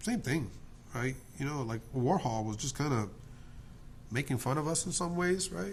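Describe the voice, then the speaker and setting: A man speaks with an American accent. The room gives off an audible echo. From New Jersey, US. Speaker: artist and drawing tutor. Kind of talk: casual talk while drawing. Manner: halting, many fillers; animated, opinionated.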